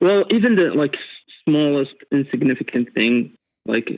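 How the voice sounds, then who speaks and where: The speaker is a man with a non-native accent. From Middle East. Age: 30s. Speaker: caller. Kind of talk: call-in advice conversation. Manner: halting, many fillers.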